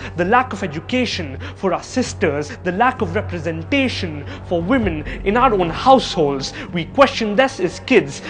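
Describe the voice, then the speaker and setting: A man speaks with music in the background. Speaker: spoken word poet. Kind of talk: spoken word poetry performance.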